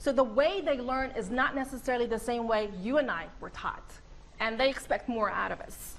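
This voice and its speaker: Noticeable background noise sits behind a high-pitched woman who speaks at a moderate pace with ordinary pitch variation. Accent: Arabic. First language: Arabic. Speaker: professor. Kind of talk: presentation to colleagues.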